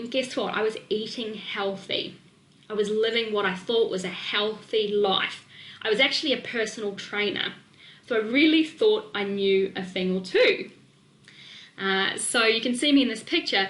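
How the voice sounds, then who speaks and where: A woman with a slight New Zealand accent speaks at a moderate pace in an animated tone. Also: fairly high pitch for a woman, ordinary pitch variation. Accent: slight New Zealand twang. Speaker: nutrition and weight-loss coach. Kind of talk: webinar presentation.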